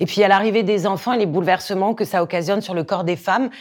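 Recorded very cleanly against a silent background, a woman talks at medium pitch with ordinary pitch variation. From Corsica. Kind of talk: interview testimony. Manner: hesitant, many fillers and repetitions.

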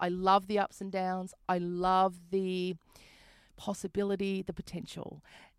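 A woman with an Australian accent speaks in a monotone, flat intonation, recorded dry and close with no echo. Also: medium pitch for a woman, moderate pace. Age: 40s. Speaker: comedian and radio presenter. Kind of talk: casual interview chat. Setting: video call.

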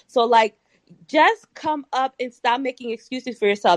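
A high-pitched woman's voice, dry and close with no echo, over a quiet background. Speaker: caller. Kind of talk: casual chat. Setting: online live audio room.

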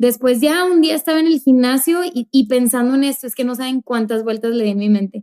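Dry and close with no echo, a woman's high-pitched voice carries a dark, mellow tone and ordinary pitch variation. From Mexico, Monterrey. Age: 20s. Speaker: youth pastor, podcast co-host. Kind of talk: casual chat. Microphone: new microphone.

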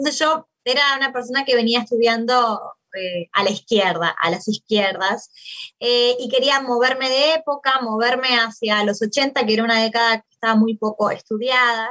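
Dry and close with no echo, a woman speaks at a fairly high pitch and a moderate pace. Her pitch varies in an ordinary way, while her loudness swings widely. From Uruguay, Maldonado. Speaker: political science professor and researcher. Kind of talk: interview about her book. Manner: hesitant with fillers.

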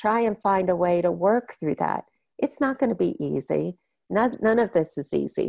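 An unremarkable speaking voice from a woman with an American accent, medium in pitch, at a moderate pace, with a dry, close sound with no echo on a very clean recording with a silent background. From Florida. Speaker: bereaved parent and support group leader. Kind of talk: interview.

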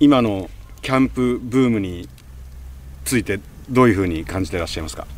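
A man speaks in a fairly low voice with very wide pitch swings. His pace is fairly quick, broken by long, frequent pauses. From Japan, Gunma (Kusatsu). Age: 50s. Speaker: radio podcast host. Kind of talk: interview.

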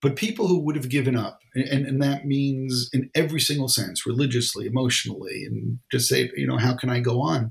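A man with a New York accent speaks at a fairly quick pace with hardly any pauses, his somewhat breathy voice at a medium pitch with ordinary pitch variation. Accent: New York American. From New York (Brooklyn). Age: 60s. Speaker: rabbi and author. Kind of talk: interview. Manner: halting.

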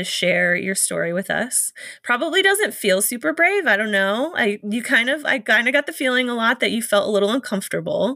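Bright and sharp in tone, a woman with a fairly high pitch speaks at a moderate pace with lively intonation. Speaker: podcast host. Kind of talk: casual interview.

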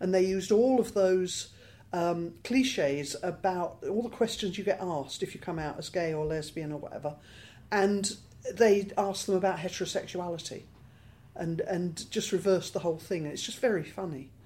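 Here is a woman with a British accent. Her tone is dark and mellow. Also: medium pitch for a woman, ordinary pitch variation, moderate pace. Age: 60s. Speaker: LGBT rights campaigner. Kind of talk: interview.

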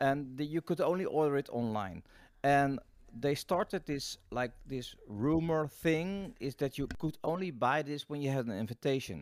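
A man with a Dutch accent, fairly high-pitched, with ordinary pitch variation at a moderate pace, in a dry, close sound with no echo. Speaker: marketing and PR consultant, podcast co-host. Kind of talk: casual interview chat. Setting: video call. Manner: halting, many repetitions.

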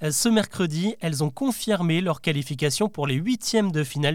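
A man with an unremarkable speaking voice talks at a moderate pace, his fairly high pitch rising and falling in lively intonation. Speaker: podcast host. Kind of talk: news bulletin, daily news recap read to the listener. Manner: brisk, clear and formal, with a lightly engaging tone.

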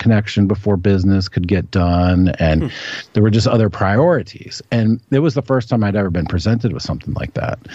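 A man's fairly low, dark, mellow voice with an American accent, ordinary pitch variation and a moderate pace. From Washington, D.C. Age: 40s. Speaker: independent journalist. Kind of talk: casual chat.

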